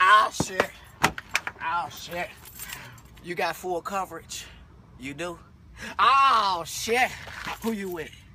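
A man speaks at a very slow pace in a raised, projected voice with ordinary pitch variation. The sound is dry with no echo, with light background noise. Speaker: comedy sketch actor. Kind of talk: acted comedic phone call.

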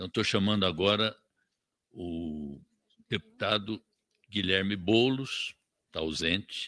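This man's voice is fairly low in pitch, with a bright, sharp tone. He leaves long, frequent pauses. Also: ordinary pitch variation, fairly slow pace. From Brazil. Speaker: committee chairman. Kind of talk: chairing a parliamentary session. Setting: parliamentary committee room. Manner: formal. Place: meeting room. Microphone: podium.

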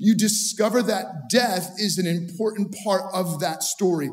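With music playing in the background, a man with a high voice speaks very slowly, using ordinary pitch variation. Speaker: pastor. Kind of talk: sermon. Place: studio. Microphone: headset.

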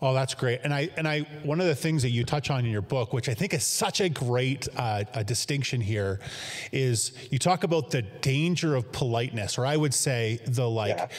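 The speaker is a man with a Canadian accent, talking at a moderate pace. His loudness stays very even, with ordinary pitch variation. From Canada. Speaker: church staff, interviewer. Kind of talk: interview. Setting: church studio, video link. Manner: halting, many fillers. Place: home room.

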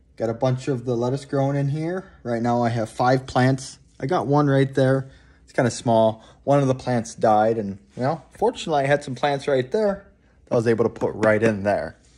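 A man speaks in a dark, mellow tone at a moderate pace with ordinary pitch variation. His loudness swings widely. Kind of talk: casual vlog chat. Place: home room. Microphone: phone near.

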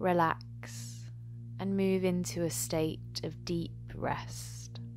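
A woman speaks at a very slow pace in a calm tone, her pitch very deep and low. Music plays in the background. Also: ordinary pitch variation. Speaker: yoga teacher. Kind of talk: guided yoga nidra meditation. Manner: calm, slow.

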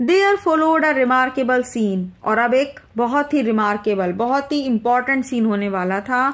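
High pitch and lively intonation in a woman's voice. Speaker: English teacher explaining a textbook lesson. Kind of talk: lecture.

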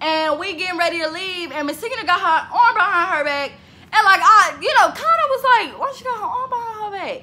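Raising and projecting her voice, a woman talks at a fairly quick pace with an extremely high pitch, a bright, sharp, animated tone, lively intonation and big swings in loudness. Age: 20s. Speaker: vlogger. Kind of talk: casual vlog monologue. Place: home room. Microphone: phone near.

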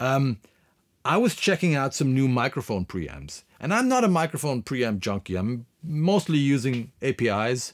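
A man with a German accent at a medium pitch, big pitch swings and a moderate pace, in a very clean recording with a silent background.

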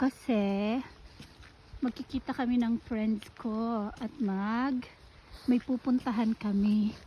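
With a dark, mellow tone and fairly even intonation, a woman speaks in a fairly high voice. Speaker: vlogger. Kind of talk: casual vlog.

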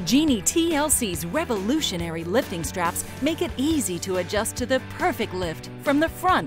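Music in the background behind a woman's moderate pace. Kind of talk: TV commercial read.

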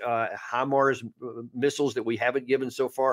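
In a quiet background, a man with an American accent speaks at a medium pitch with monotone, flat intonation. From Texas. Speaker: retired army officer and commentator; commentator. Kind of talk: live-stream interview. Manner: hesitant, repeats words. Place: home room. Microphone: studio mic.

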